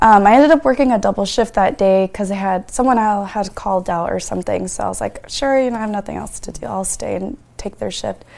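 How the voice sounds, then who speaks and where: Talking at a very fast pace in an American accent, a woman uses a medium pitch with ordinary pitch variation and big swings in loudness. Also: hardly any pauses. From Washington State, Yakima area. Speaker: crime survivor. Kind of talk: testimony. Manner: casual, uses fillers.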